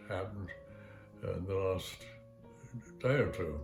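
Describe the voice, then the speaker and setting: A man's very deep, low voice with audible room echo and music in the background. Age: 90s. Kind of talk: interview. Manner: halting; slow.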